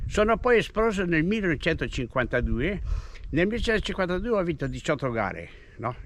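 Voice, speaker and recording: A man talks very fast in a high pitch with very wide pitch swings. He leaves long, frequent pauses. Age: 80s+. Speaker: retired cyclist and runner. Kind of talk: casual chat.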